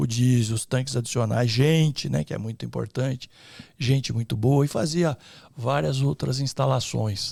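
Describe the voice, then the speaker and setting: Lively intonation marks this man's medium-pitched voice. He's somewhat breathy and keeps a moderate pace. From interior of São Paulo state, Brazil. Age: 60s. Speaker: entrepreneur, electrical engineer. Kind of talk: podcast interview. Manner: hesitant fillers.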